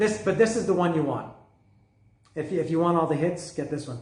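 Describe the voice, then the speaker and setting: Somewhat breathy, a man's voice comes through with audible room echo. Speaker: music reviewer. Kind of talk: casual monologue review. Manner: halting, many fillers.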